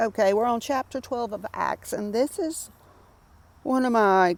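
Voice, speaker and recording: This woman talks at a moderate pace with a Southern US accent. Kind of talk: Bible study reading and commentary. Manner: casual, conversational.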